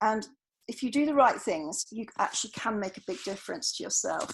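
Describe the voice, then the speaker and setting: A woman's fairly high-pitched voice with vocal fry, in a British accent. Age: 50s. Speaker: doctor giving talk to GPs. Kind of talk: lecture.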